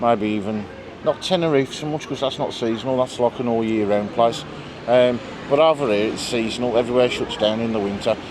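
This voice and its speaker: With noticeable background noise around him, a man speaks very fast at a medium pitch with ordinary pitch variation. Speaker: travel vlogger. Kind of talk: casual vlog chat. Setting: bar in Majorca. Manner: animated.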